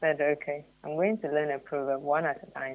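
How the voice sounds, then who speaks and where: A woman with a Ghanaian accent, very deep and low in pitch, at a moderate pace. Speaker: youth development trainer. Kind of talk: radio interview discussion. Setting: radio studio.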